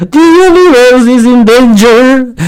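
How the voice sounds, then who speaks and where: Light background noise sits behind a man doing a put-on character voice. He speaks at a fairly slow pace with an extremely high pitch. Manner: dramatic.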